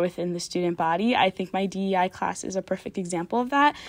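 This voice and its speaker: A normal speaking voice, a woman with an American accent. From Michigan, US (Canton). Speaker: university student and tour guide. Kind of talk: casual panel discussion.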